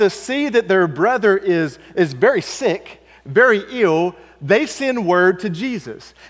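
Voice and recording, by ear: Reading aloud in a natural voice with lively intonation.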